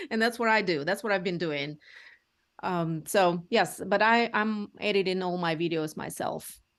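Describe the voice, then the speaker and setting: With a medium pitch and ordinary pitch variation, a woman speaks at a moderate pace against a quiet background. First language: Russian. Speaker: real estate agent. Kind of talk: interview. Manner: halting.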